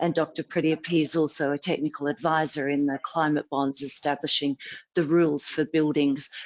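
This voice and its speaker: A woman's very deep, low-pitched voice with an Australian accent, monotone, flat intonation, and very even loudness. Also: moderate pace. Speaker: sustainability advisor, panelist. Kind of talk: panel discussion.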